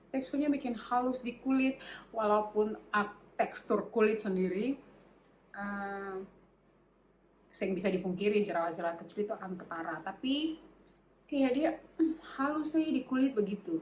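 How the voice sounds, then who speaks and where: A woman with a fairly high pitch speaks at a moderate pace. Her intonation is lively, broken by long, frequent pauses. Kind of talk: beauty product review to camera. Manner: casual, chatty.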